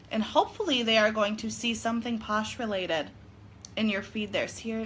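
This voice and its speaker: Speaking fast with a northern US accent, a woman keeps her fairly high pitch at a fairly even intonation. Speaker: direct sales consultant. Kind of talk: casual livestream chat. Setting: living room livestream.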